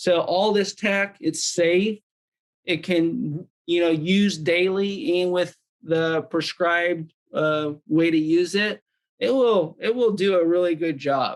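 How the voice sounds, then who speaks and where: A man speaks at a very slow pace in a high voice, with ordinary pitch variation and very even loudness. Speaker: wellness device demonstrator. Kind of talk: product demonstration. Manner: casual, filler-heavy.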